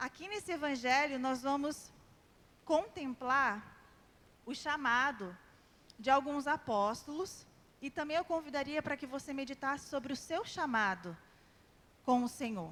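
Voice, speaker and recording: Her high voice moves with lively intonation at a fairly slow pace. This woman leaves long, frequent pauses. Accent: slight carioca. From Brazil, São José; formed in Rio de Janeiro. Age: 30s. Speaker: lay preacher. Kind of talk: sermon. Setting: church prayer group with audience.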